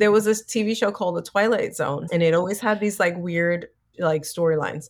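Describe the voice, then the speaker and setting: A woman with an American accent has a normal speaking voice, fairly low in pitch with ordinary variation. The recording is very clean with a silent background. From New York City (South Bronx). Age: 50s. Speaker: actress and author. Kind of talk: interview.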